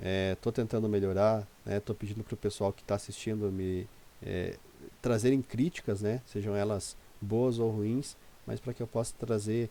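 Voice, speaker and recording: Speaking at a fairly slow pace, the man has a fairly low pitch and fairly even intonation. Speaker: day trader. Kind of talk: tutorial. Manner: hesitant, many filler words.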